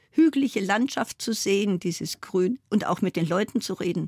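Lively intonation in a dry, close recording with no echo, very clean against a silent background. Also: woman. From Bavaria, Bavarian Forest. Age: 70s. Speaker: foundation chair and former state politician. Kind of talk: radio interview.

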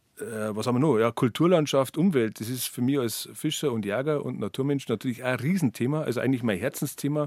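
A man's medium-pitched voice with lively intonation, on a very clean recording with a silent background. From Bavaria, Berchtesgadener Land. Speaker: author and journalist, heritage association director. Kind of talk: radio interview. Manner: halting, many repetitions.

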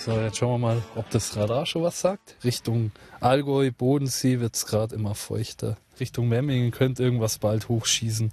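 A man speaks at a medium pitch with a somewhat breathy voice. His intonation is fairly even and his pace is moderate. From Upper Bavaria, Fürstenfeldbruck. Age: 30s. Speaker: amateur storm chaser, tradesman. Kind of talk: casual chat.

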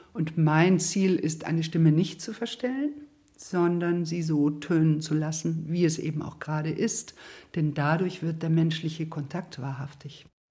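This woman speaks at a fairly slow pace in a fairly low pitch, her dark, mellow tone somewhat breathy and her intonation fairly even. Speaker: voice therapist. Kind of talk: interview.

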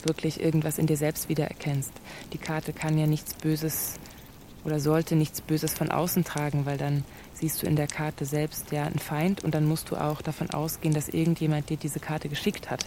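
A woman with a very deep, low pitch, a fairly quick pace, and monotone, flat intonation, over noticeable background noise. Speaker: radio play author and game leader. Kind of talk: radio play conversation. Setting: studio. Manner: sudden shifts between loud and soft; erratic, jumpy delivery.

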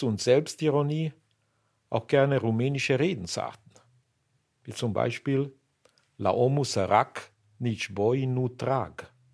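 On a very clean recording with a silent background, a man speaks at a very slow pace in a medium pitch with ordinary pitch variation. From Romania (Banat, Bucharest). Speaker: immigrant interviewee. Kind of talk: personal testimony.

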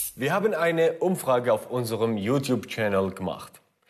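Very wide pitch swings and vocal fry run through this voice with a Kurdish accent. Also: man. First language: Kurdish (speaking German). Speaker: actor and video presenter. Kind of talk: educational video presenting.

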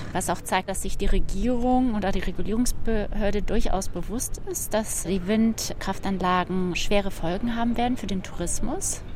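A woman of medium pitch talks with fairly even intonation over noticeable background noise and audible room echo. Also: moderate pace, hardly any pauses. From Germany. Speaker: citizen activist. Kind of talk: interview.

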